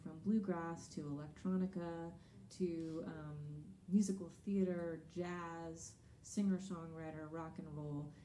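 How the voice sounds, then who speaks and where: A woman with an American accent talks at a fairly low pitch with fairly even intonation, amid noticeable background noise and audible room echo. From Texas. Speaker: singer-songwriter. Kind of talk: stage banter between songs. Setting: live concert stage with audience.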